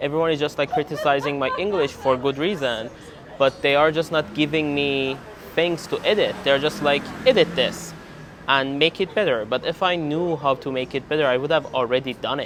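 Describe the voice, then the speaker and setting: Noticeable background noise sits under a man speaking with a Persian accent. His pitch is fairly high with ordinary variation, and his pace is fairly quick. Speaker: PhD student vlogger. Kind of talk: casual vlog.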